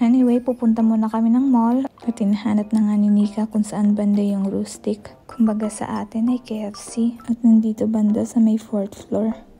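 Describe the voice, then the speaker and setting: A woman whispers quietly at a moderate pace with hardly any pauses. Music plays in the background. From Philippines. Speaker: vlogger. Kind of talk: vlog voice-over narration. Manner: whispery, hushed.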